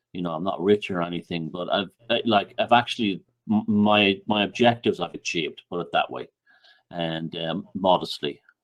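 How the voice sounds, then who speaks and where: A man with an Irish accent at a moderate pace. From Ireland. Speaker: author and researcher. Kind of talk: podcast interview.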